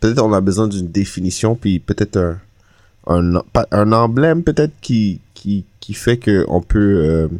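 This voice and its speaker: Against a quiet background with a dry, close sound and no echo, a man talks fairly slowly in a fairly low voice with lively intonation. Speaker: podcast host. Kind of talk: casual chat.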